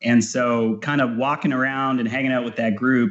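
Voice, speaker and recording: Medium-pitched male voice at a moderate pace. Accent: slight Canadian. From Texas, Houston (born in Calgary, Canada, moved at about 8). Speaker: fiddle player, musician. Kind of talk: podcast interview. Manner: casual, many fillers.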